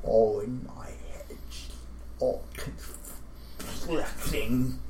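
A put-on character voice moves at a very slow pace. Loud background noise runs underneath. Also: man. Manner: unsettling, calmly musing.

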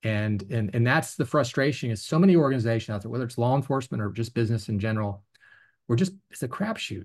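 Somewhat breathy, a man with an American accent talks at a very fast pace with ordinary pitch variation. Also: medium pitch for a man. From Virginia. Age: 50s. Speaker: former federal drug agent. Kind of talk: interview. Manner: halting, many fillers.

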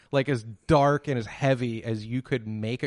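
A man with an American accent speaks at a moderate pace and medium pitch, with ordinary pitch variation, in a normal speaking voice. The sound is dry and close with no echo, set against a quiet background. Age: 30s. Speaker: podcast host. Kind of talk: casual chat.

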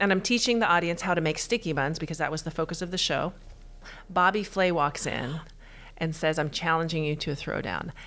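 A woman with an American accent has an unremarkable speaking voice, fairly low in pitch with ordinary pitch variation, on a very clean recording with a silent background. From Texas. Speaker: pastry chef and bakery owner. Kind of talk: interview. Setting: in person, same room.

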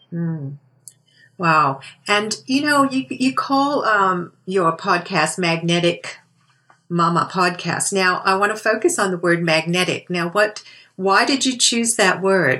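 Speaking very slowly, a woman with a bright, sharp tone and medium pitch uses lively intonation. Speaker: podcast host. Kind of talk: podcast interview.

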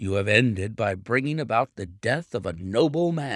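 The delivery is a natural reading voice. Its intonation is lively.

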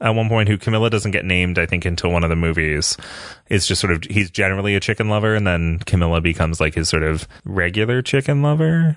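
Very deep and low in pitch, a man talks at a very fast pace with lively intonation and very even loudness. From Canada. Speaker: media scholar. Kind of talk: casual chat. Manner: animated.

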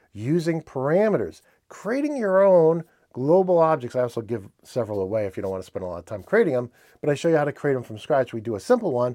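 A man with a New England accent, medium-pitched and very fast, with very wide pitch swings, big swings in loudness and a quiet background. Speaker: industrial automation news presenter. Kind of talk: news roundup, solo presentation. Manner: casual, friendly, with filler words.

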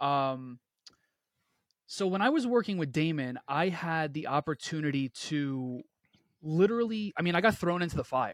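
A man with a New York accent, fairly high pitch, lively intonation and long, frequent pauses, on a very clean, dry, close recording with no echo and a silent background. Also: moderate pace. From Queens, New York. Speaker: entrepreneur and brand coach. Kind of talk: podcast interview. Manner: animated.

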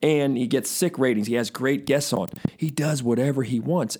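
Over a silent background in a very clean recording, a man with an unremarkable speaking voice talks at a fairly quick pace and a fairly high pitch. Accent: American. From Baltimore, US East Coast. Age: 40s. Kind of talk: casual interview conversation.

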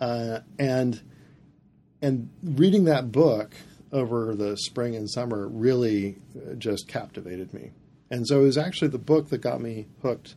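Big swings in loudness, a dark, mellow tone and an American accent, at a fairly slow pace with ordinary pitch variation. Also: man, medium pitch for a man. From US Midwest, northern Indiana. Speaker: planetarium director. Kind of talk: interview conversation.

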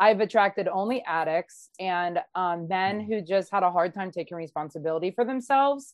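A woman talks at a moderate pace and a medium pitch with hardly any pauses. Her pitch variation is ordinary, and it is a plain, everyday voice. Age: 30s. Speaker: online series host. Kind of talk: casual interview chat.

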